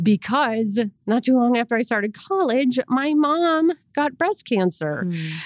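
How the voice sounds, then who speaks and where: In a dry, close sound with no echo, a woman speaks with an Inland North American accent and lively intonation. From Rochester, New York. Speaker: church staff member. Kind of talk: casual chat. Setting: podcast.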